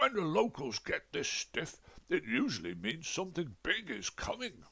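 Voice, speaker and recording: Using a put-on character voice, a man speaks at a high pitch with a cheerful tone. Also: moderate pace. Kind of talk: comic overacting. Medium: read story. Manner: hearty, cheerful.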